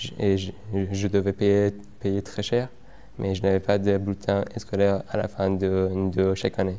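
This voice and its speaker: A man with an Afghan accent, dark, mellow tone and fairly low pitch, at a fairly slow pace with long, frequent pauses and monotone, flat intonation. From Afghan, raised in Iran. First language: Dari Persian (speaking French). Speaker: former unaccompanied migrant. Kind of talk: interview testimony. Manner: halting, many repetitions.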